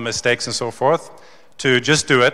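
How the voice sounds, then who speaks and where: A man at a moderate pace with ordinary pitch variation, against a quiet background. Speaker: conference speaker. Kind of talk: keynote talk. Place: hall. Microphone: handheld.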